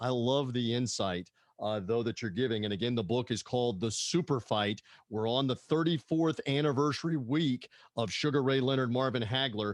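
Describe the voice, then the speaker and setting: A man with an American accent speaks at a moderate pace and a medium pitch with ordinary pitch variation. His loudness stays very even against a quiet background. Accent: half Southern American. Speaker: podcast host. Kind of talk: interview. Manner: animated.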